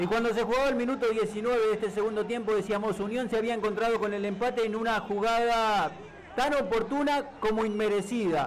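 Against noticeable background noise, a man with a high pitch speaks at a fairly quick pace, his loudness very even and his intonation fairly even. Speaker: football commentator. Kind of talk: sports commentary, match analysis recap. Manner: fluent, formal.

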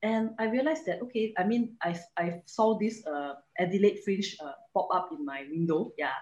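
Woman's somewhat breathy, medium-pitched voice with a Malaysian accent, very wide pitch swings and a moderate pace. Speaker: comedian. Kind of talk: casual chat.

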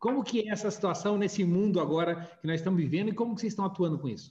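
A man talks at a very fast pace in a high voice. Room echo is audible. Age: 40s. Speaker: podcast host, graduation photography businessman. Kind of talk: casual chat.

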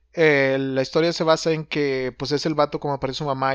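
The speech is very fast and monotone with flat intonation, recorded dry and close with no echo against a quiet background. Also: man. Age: 30s. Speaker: podcast co-host, audio editor. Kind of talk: casual chat.

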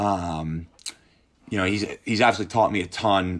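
This man speaks with an American accent. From Yorktown, New York, US. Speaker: professional lacrosse player. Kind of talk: casual interview. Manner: halting, many fillers.

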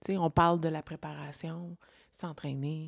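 Speaking at a fairly slow pace, a woman with a very deep, low voice keeps a fairly even intonation, the sound dry and close with no echo on a very clean recording with a silent background. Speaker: podcast co-host, entrepreneur. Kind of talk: interview in casual chat.

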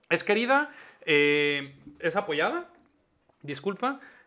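The man's voice is high-pitched, with a bright, sharp tone. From Mexico. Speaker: wrestling podcast co-host. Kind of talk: casual chat.

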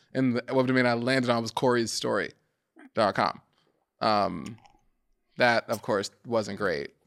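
Sounding dry and close with no echo, a man speaks in an animated tone at medium pitch and a fairly slow pace. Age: 20s. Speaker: podcast co-host. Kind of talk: casual chat.

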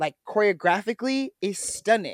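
A man with an American accent speaks at a high pitch and a moderate pace. The sound is dry and close with no echo. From Cleveland, Ohio, US Midwest. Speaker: podcast co-host, stage performer. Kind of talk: casual chat.

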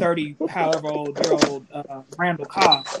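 Delivered with fairly even intonation, this is a plain, everyday voice. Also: man. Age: 20s. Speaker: sports podcast host. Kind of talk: casual chat.

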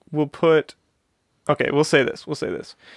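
Recorded dry and close with no echo, a man's voice sits on a very clean, silent background. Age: 20s. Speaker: podcast co-host, recent music education graduate. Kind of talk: casual chat, quiz game.

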